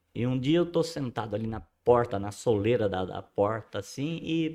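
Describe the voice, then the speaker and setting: Speaking at a fairly slow pace with lively intonation, a man comes through on a very clean recording with a silent background. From rural São Paulo state, Brazil. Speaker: host's father, amateur musician. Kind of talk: casual interview, life story.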